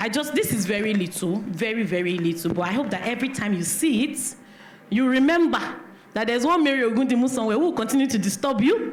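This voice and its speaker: A woman with a Nigerian accent talks at a very fast pace, her fairly high pitch set in lively intonation and very even loudness. Noticeable background noise and audible room echo are present. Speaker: event organizer, business network founder. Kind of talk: speech of thanks at event. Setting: church hall event with audience.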